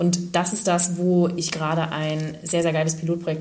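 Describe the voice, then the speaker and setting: Audible room echo around a woman with a fairly low-pitched voice. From northern Germany, Schleswig-Holstein. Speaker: life coach and fitness trainer. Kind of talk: casual interview.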